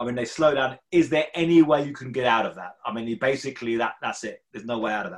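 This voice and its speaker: A man with a British accent and a medium pitch, talking very fast with big swings in loudness. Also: ordinary pitch variation. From UK. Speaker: journalist and podcast host. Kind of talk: interview. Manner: halting, with fillers.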